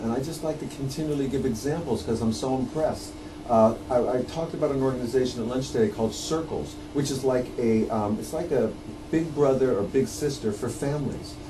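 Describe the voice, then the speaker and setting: The speech moves at a fairly quick pace with ordinary pitch variation over noticeable background noise. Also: man. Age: 50s. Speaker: documentary filmmaker; guest. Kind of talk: radio interview. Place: studio.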